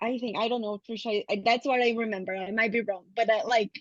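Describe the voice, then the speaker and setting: A woman with a non-native accent speaks at a fairly high pitch with fairly even intonation, in a dry, close sound with no echo. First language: not English. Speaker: counselling graduate student. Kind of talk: casual chat.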